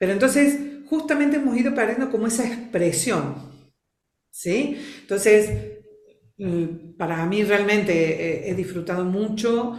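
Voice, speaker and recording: Lively intonation marks this woman's speech. Audible room echo surrounds her voice. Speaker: trainer in family constellations and expressive movement. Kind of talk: interview.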